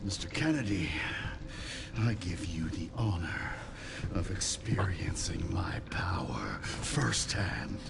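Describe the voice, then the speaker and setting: Whispering in a put-on character voice, a man speaks at a fairly slow pace. Loud background noise runs underneath. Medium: game stream. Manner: cold, condescending.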